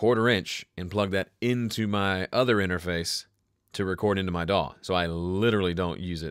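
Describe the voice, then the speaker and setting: A man speaks with a Southern US accent in a very deep, low voice. His intonation is fairly even, his pace moderate, and the recording very clean with a silent background. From US South. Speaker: music producer and home studio educator. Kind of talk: live stream Q&A. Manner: casual, conversational.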